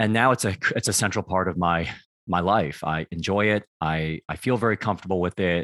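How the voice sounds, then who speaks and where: The speaker has an American accent and a fairly quick pace, with ordinary pitch variation. The background is quiet, and the sound is dry and close with no echo. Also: man, very deep, low pitch for a man. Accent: American, general. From United States. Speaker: public speaker and career consultant. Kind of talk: casual interview.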